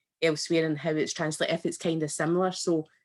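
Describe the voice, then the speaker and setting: A woman talks very fast at a fairly low pitch. Her intonation is monotone and flat. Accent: Scottish. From Scotland. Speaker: event attendee asking a question. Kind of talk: question at online event.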